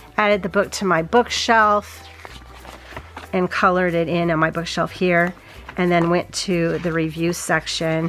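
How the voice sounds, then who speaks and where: Over noticeable background noise, a woman speaks at a fairly slow pace and a fairly low pitch, with fairly even intonation. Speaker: reading journal youtuber. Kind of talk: casual craft vlog narration. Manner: chatty, thinking aloud.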